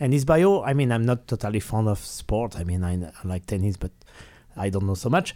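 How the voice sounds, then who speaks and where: Over a silent background in a very clean recording, a man with a French accent speaks in a dark, mellow tone with lively intonation at a fairly quick pace. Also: fairly low pitch for a man. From France. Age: 40s. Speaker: classical guitarist and teacher. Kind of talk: interview. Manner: halting.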